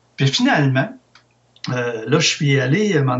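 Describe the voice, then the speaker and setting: A man talks at a moderate pace with lively intonation. His voice is somewhat breathy and fairly high in pitch. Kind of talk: interview.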